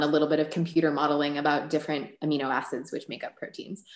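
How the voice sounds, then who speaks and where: Very deep and low in pitch, a woman with an American accent speaks at a very fast pace, her voice carrying audible room echo over a quiet background. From Chicago, US Midwest. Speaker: biochemist; guest. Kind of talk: Q&A workshop. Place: home room. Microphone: webcam.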